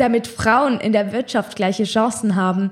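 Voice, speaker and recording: A woman speaks at a moderate pace, her voice fairly high and somewhat breathy. Her pitch varies in an ordinary way. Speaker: podcast host. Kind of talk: reading aloud; casual chat.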